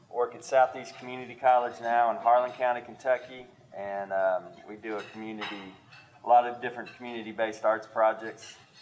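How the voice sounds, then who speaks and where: With an Appalachian accent, a man talks at a fairly quick pace with fairly even intonation and big swings in loudness, over noticeable background noise. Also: medium pitch for a man. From East Tennessee (Kingsport). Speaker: college arts educator and novelist. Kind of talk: panel discussion.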